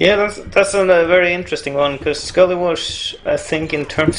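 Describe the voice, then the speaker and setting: Noticeable background noise fills the recording. The voice belongs to a man. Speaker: esports caster. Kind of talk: live esports commentary. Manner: hesitant, filler-heavy, conversational.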